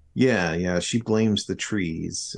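At a moderate pace, a man speaks with an American accent over a quiet background. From US South, southern Arkansas. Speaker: novelist. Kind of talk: interview about his book.

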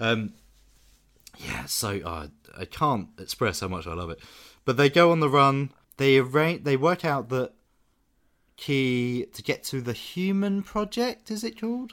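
A man with a British accent, fairly high in pitch and fairly slow, with very wide pitch swings, big swings in loudness and long, frequent pauses, on a very clean recording with a silent background. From Britain. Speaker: film podcast host. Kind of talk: casual chat.

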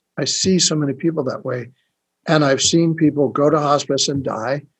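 A somewhat breathy male voice, fairly high-pitched for a man, at a moderate pace with fairly even intonation. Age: 50s. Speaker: spiritual healer. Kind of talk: interview.

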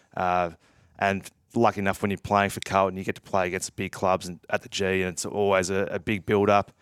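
A man with an Australian accent and a very deep, low pitch talks at a fairly quick pace in a monotone, flat intonation, in a very clean recording with a silent background. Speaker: retired footballer. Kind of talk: casual chat.

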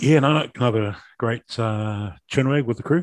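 A man speaks at a medium pitch in a New Zealand accent. The recording is very clean with a silent background and a dry, close sound with no echo. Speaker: rugby podcast co-host. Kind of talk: casual chat.

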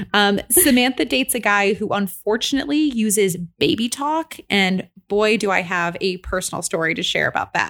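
A woman speaks in a normal speaking voice at medium pitch and a moderate pace, with lively intonation and hardly any pauses. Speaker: podcast host. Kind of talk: casual chat.

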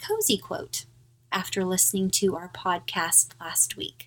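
A woman with an American accent and vocal fry at a fairly slow pace. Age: middle-aged. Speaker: podcast host. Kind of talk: casual chat.

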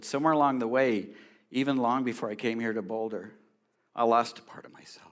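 A man speaks very fast at a medium pitch. His intonation stays fairly even while his loudness swings widely. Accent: American. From California. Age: 60s. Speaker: pastor. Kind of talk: sermon. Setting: church.

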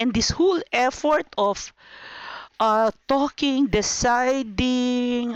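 A woman speaks at a high pitch, in a dry, close sound with no echo. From Philippines. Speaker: church pastoral center director. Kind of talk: interview. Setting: remote call.

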